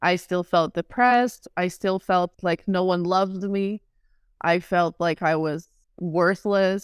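A woman with a Portuguese accent speaks fairly slowly at a medium pitch, in a dry, close sound with no echo and a very clean recording with a silent background. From Brazil, Rio de Janeiro. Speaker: author and professional wrestler. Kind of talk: personal testimony in interview.

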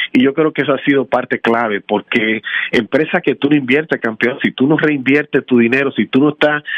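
Speaking at a moderate pace, this man has an unremarkable speaking voice of medium pitch with ordinary pitch variation. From Dominican Republic, raised in Washington Heights, New York. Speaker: tax franchise founder. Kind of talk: interview.

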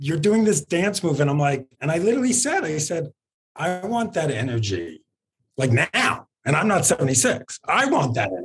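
Using vocal fry and very wide pitch swings, a man with an American accent and fairly high pitch speaks at a moderate pace. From New York. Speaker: entertainment podcast host. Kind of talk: casual interview chat. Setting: video call from office.

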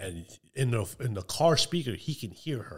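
A man's somewhat breathy voice on a very clean recording with a silent background. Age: 40s. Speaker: gun store manager. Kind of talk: casual chat.

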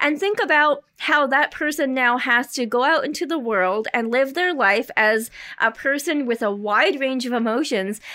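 Projecting a raised voice, a woman speaks at a high pitch and moderate pace with lively intonation. She leaves hardly any pauses. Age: 30s. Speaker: comedian. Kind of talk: stand-up. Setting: stage with audience.

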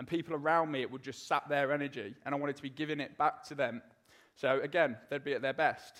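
A man talks very fast with a British accent, his pitch fairly high. His intonation stays fairly even. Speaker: ex-soldier and motivational speaker. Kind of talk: live talk and testimony. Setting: stage with audience.

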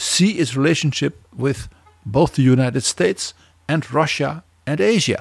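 A man with a Dutch accent speaks fairly slowly at a fairly high pitch. His voice is somewhat breathy, and the sound is dry and close with no echo. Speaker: podcast co-host, historian. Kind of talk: interview.

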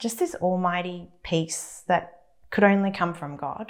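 Lively intonation marks this woman's speech. She talks at a very slow pace. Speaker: church member giving testimony. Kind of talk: testimony.

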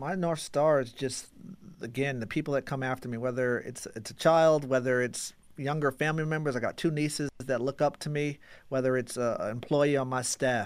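A man with an American accent, medium pitch, fairly even intonation and a moderate pace, on a very clean recording with a silent background. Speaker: sports marketing executive. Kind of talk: casual interview chat. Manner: soft-spoken.

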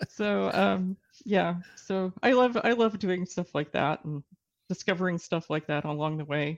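In an American accent, a woman with an ordinary speaking voice talks fairly slowly at a fairly low pitch, with ordinary pitch variation. The sound is dry and close with no echo, over a quiet background. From Texas. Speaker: novelist. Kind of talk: casual interview.

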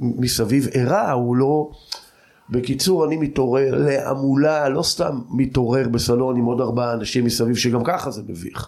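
At a fairly slow pace, a man with a medium pitch and ordinary pitch variation talks over noticeable background noise. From Israel, Jordan Valley kibbutz. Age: 50s. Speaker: cultural researcher and lecturer. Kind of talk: personal life story interview.

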